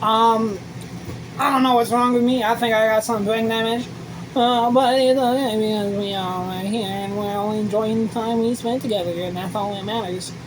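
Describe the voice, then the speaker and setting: A woman with an American accent speaks in a fairly high pitch and a relaxed tone. Noticeable background noise and audible room echo surround her. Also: fairly even intonation, moderate pace. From US city. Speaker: vlogger. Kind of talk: casual vlog monologue. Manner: rambling, relaxed.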